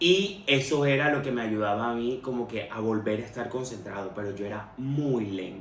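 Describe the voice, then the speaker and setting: A man's lively intonation with hardly any pauses, against noticeable background noise. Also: medium pitch for a man, moderate pace. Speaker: podcast host sharing personal experience. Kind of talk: personal testimony monologue.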